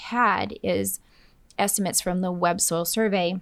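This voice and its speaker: An unremarkable speaking voice with an American accent and ordinary pitch variation comes through on a very clean recording with a silent background. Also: woman. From Minnesota. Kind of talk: interview.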